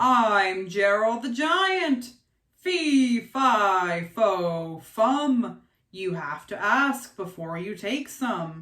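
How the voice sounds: A woman uses a put-on character voice, fairly high in pitch. She speaks at a very slow pace.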